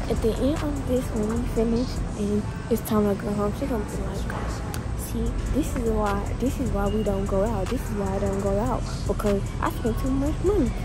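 Clear music plays in the background as a woman speaks at a moderate pace, her voice dry with no echo. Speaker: vlogger. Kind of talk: casual vlog chat. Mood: playful teasing. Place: shop. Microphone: phone near.

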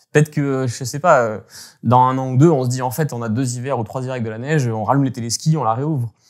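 Against a quiet background, a man of medium pitch races along at a very fast pace with fairly even intonation. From French Alps, Hautes-Alpes (Gap); Hautes-Alpes, France. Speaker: climate researcher and former ski journalist; guest, former journalist. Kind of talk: interview. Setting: remote call. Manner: halting, many hesitations. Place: home room.

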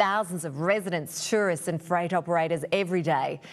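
The recording is very clean with a silent background. A woman with an unremarkable speaking voice talks at a fairly low pitch with fairly even intonation. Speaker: TV news presenter. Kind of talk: news reading.

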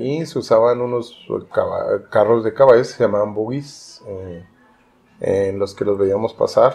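Speaking at a fairly slow pace, a man talks with a northern Mexican accent. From Cuauhtémoc, Chihuahua, Mexico. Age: 50s. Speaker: writer. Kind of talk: oral history interview answer.

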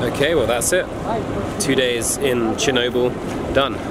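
A man at a fairly quick pace, dry sound with no echo, loud background noise behind him. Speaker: travel vlogger. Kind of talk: casual vlog chat. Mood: reflective, wrapping up. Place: street. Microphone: phone near.

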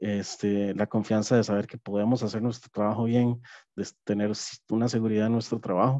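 Against a quiet background, a man speaks in a dark, mellow tone with monotone, flat intonation and a dry sound with no echo. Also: fairly low pitch for a man, moderate pace. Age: 30s. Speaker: app development project manager, neurodivergent employee; webinar panelist. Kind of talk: personal testimony. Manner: halting, many fillers. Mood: calm, reflective. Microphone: headset.

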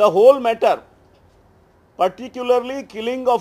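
A man at a moderate pace, pitch varying in an ordinary way. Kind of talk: press statement, reading a document aloud. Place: hall. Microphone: podium.

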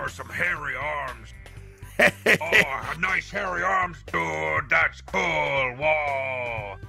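The speaker talks at a very slow pace while clear music plays in the background. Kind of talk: casual banter between friends while playing a game. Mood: amused, joking. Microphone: headset.

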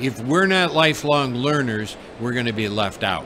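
Noticeable background noise sits under a man with an American accent talking at a moderate pace. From United States. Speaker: education consultant and teacher trainer. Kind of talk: live interview. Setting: studio at a live trade fair. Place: booth. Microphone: studio mic.

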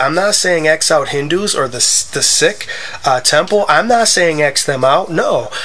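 Over noticeable background noise, a man with an American accent speaks with ordinary pitch variation. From US Midwest (Wisconsin). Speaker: gaming video creator. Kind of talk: gameplay commentary with religious monologue. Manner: halting, many fillers.

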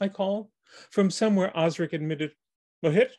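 Over a quiet background, the voice is plain reading aloud with ordinary pitch variation.

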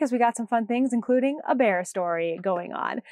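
Against a quiet background, a woman with an American accent speaks with lively intonation in a dry sound with no echo. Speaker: knitting podcast host. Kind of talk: casual podcast monologue; casual vlog chat. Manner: loud; fast. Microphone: lapel.

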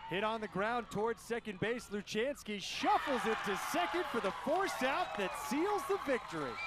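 Over noticeable background noise, a man with an extremely high pitch and an animated tone talks at a moderate pace with hardly any pauses, his pitch swinging very widely while his loudness stays very even. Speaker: baseball commentator. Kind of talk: live sports commentary over game highlights. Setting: highlights video voiceover. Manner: animated, rising excitement on big plays.

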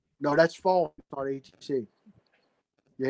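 With an American accent, a man talks at a fairly slow pace using fairly even intonation. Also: quiet background. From Pittsburgh, Pennsylvania. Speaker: tabletop wargamer; guest. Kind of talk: casual interview; casual interview conversation. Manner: halting, many repeated words. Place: home room. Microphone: video call.

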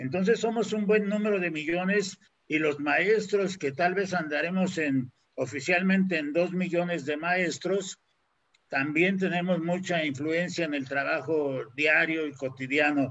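A man speaks at a high pitch. His pace is fairly slow, with ordinary pitch variation. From Mexico. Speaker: panel host, university professor. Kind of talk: live online panel discussion. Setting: video call livestream. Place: home room. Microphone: video call.

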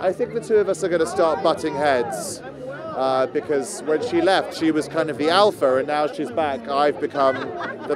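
A man's lively, moderately paced voice over background crowd noise. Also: dry sound with no echo. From England. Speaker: actor. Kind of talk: interview answer. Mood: cheerful, relaxed. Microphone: handheld.

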